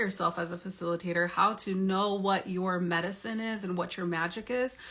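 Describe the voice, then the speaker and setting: Through noticeable background noise, a woman talks fairly quickly at a medium pitch with fairly even intonation. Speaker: psychedelic facilitation coach. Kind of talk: sales pitch.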